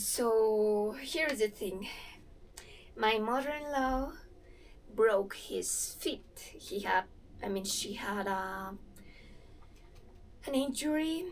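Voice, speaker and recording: A woman with a Spanish accent speaks at a very slow pace and a fairly high pitch, with lively intonation. Long, frequent pauses mark her speech, and there is audible room echo. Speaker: movement vlogger. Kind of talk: casual vlog while exercising. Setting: in-laws' house.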